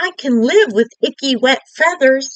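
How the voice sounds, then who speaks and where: A woman performs a put-on character voice at high pitch, with lively intonation and a moderate pace. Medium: read story.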